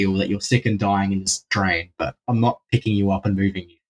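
A somewhat breathy man with an Australian accent. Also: dry, close sound with no echo. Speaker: drain explorer. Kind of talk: casual chat.

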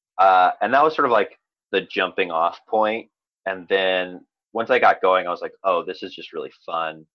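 Speaking at a moderate pace, a man is heard. His volume rises and falls a great deal. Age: 30s. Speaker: actor and comedian. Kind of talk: casual chat.

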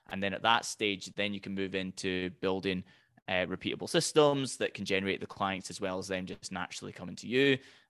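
With a Highland Scottish accent, a man talks at a fairly quick pace and a fairly low pitch, with ordinary pitch variation, in a dry, close sound with no echo against a quiet background. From Scottish Highlands. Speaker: business coach. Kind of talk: podcast interview.

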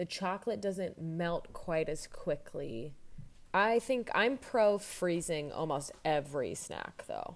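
A woman talks at a fairly slow pace with lively intonation. She has an unremarkable speaking voice. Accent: American. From Indiana, US Midwest. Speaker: guest. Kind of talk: casual chat. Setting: video call.

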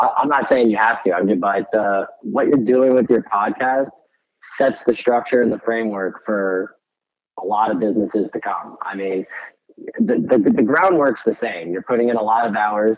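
A man speaks in a plain, everyday voice at medium pitch. His pace is moderate, with ordinary pitch variation. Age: 20s. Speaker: startup founder. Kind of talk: interview.

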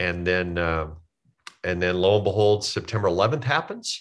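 A man with an American accent talks at a fairly quick pace in an ordinary speaking voice, his fairly low pitch moving with ordinary variation. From US Midwest. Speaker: comedian. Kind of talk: casual chat.

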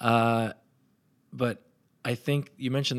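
The recording is very clean, with a silent background. A man talks in an ordinary speaking voice at a moderate pace, with fairly even intonation. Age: 40s. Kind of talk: casual interview conversation.

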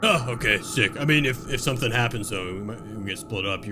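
Over loud background noise, a man does a put-on character voice. His pitch is medium and his pace is moderate. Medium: actual play. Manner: friendly, chatty.

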